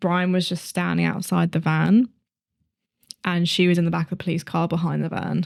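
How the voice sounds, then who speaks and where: A British accent comes through in speech at a fairly quick pace. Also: woman. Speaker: true crime podcast co-host. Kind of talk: casual chat.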